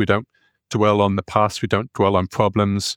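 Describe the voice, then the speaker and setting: The man has a northeast English accent and a fairly low pitch, speaking at a fairly quick pace in a very clean recording with a silent background and a dry, close sound with no echo. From northeast England. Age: 40s. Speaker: performance psychology coach and hypnotherapist. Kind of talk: casual interview conversation.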